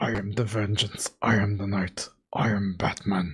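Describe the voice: Using a put-on character voice, a man speaks raspy and gravelly at a moderate pace, in a fairly low pitch with monotone, flat intonation.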